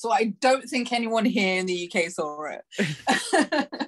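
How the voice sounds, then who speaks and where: A woman with a London accent speaks with ordinary pitch variation. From London, UK (born in Brazil). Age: 30s. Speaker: adult performer, guest. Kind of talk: casual interview chat. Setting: podcast.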